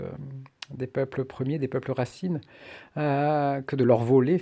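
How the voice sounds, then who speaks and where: On a very clean recording with a silent background, a man speaks at a very slow pace. His medium-pitched voice has a dark, mellow tone. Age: 60s. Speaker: shamanic practitioner. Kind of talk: personal monologue. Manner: halting, many hesitations.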